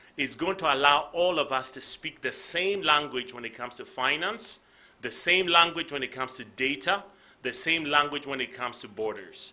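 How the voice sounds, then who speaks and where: Speaking at a fairly quick pace, a man with a Ghanaian accent has a bright, sharp tone and a fairly high pitch. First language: Ga. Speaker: tech company CEO. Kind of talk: conference speech.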